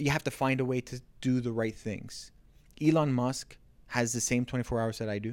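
An unremarkable speaking voice belongs to a man with a Canadian accent, medium in pitch and moderate in pace. His intonation is fairly even, and the recording is very clean with a silent background. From Ontario, Canada (Markham). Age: 40s. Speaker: realtor and business owner. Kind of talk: casual interview. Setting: studio, on a couch on camera.

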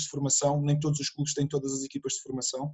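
This man's voice is fairly high, and his words come at a very fast pace. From Portugal, Setúbal district. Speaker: football coach. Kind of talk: casual interview.

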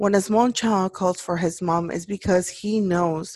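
Against a quiet background, a woman with an unremarkable speaking voice talks at medium pitch and a fairly slow pace with fairly even intonation. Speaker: podcast host. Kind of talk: personal solemn address about racism. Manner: emotional, earnest.

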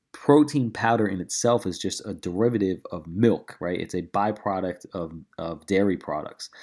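An energetic male voice on a very clean recording with a silent background. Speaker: fitness coach. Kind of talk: casual solo Q&A. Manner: fast talker; casual, energetic.

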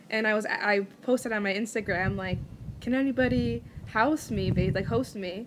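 A medium-pitched woman with an American accent and lively intonation, over noticeable background noise. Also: moderate pace. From United States. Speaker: podcast host. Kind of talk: casual chat.

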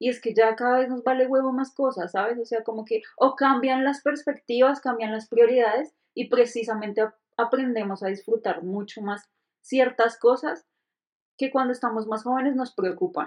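The pace is moderate. Pitch variation is ordinary. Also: woman, high pitch for a woman. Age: 30s. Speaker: podcast co-host. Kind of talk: casual chat.

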